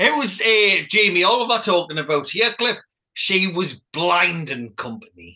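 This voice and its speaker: Raising and projecting his voice, a man speaks fairly slowly with a bright, sharp tone, a high pitch for a man and very wide pitch swings. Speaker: podcast host. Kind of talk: casual banter.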